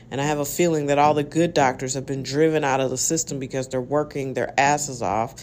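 Over noticeable background noise, a woman speaks with very deep, low pitch and fairly even intonation. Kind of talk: solo podcast monologue. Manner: casual, conversational.

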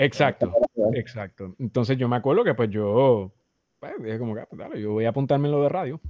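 In a dry, close sound with no echo, a man with a dark, mellow tone talks at a fairly quick pace, showing ordinary pitch variation and big swings in loudness. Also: medium pitch for a man. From Puerto Rico, Naranjito. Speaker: voice talent and audio journalist. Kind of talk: casual interview.

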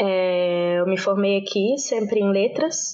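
With an ordinary speaking voice, a woman talks at a fairly slow pace in a medium pitch. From Brazil, Brasília. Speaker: language teacher. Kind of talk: casual interview.

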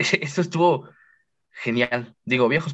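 A man speaks with a Mexican accent. His pitch varies in an ordinary way. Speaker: podcast guest. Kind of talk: casual chat.

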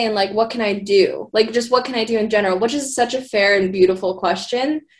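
A woman's unremarkable speaking voice with an American accent, medium in pitch, with ordinary pitch variation. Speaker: social media video editor. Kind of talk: casual chat.

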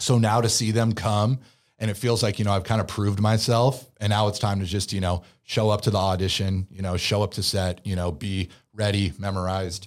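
With an American accent, a man talks at a fairly quick pace in a fairly low pitch with fairly even intonation, on a very clean recording with a silent background. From California, Bay Area. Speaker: actor. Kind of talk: casual chat. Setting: studio.

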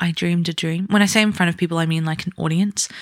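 A woman with a New Zealand accent speaks at a fairly low pitch, recorded very cleanly against a silent background with a dry, close sound and no echo. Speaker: podcast host, aspiring musical theatre performer. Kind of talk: solo podcast monologue. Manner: animated.

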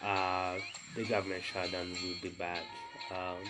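There is noticeable background noise behind this man. He speaks at a moderate pace in a very deep, low voice. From Burundi. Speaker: podcast host. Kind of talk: solo news commentary. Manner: halting, many fillers.

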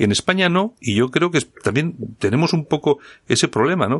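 Over a quiet background, a man speaks at a fairly quick pace. His pitch swings very widely. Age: 50s. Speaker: radio host. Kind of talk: radio talk show interview. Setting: radio studio.

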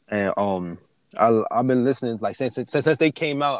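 On a very clean recording with a silent background, a man with an American accent talks at a fairly quick pace with ordinary pitch variation. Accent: Americanized, urban American. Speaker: podcast host. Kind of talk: casual chat.

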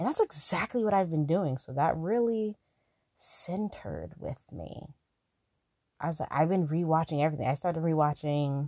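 Quiet and dark, mellow in tone, a woman with a very deep, low voice speaks at a moderate pace with ordinary pitch variation, in a dry, close sound with no echo. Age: 20s. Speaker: podcast host. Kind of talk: casual solo podcast monologue. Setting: lying down, not in usual studio. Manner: laid-back, quiet like a phone chat.

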